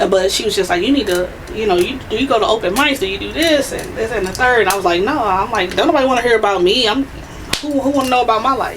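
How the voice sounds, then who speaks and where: A woman talks at a very fast pace with lively intonation. Room echo is audible, and there is noticeable background noise. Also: fairly high pitch for a woman. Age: 30s. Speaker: poet. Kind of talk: interview.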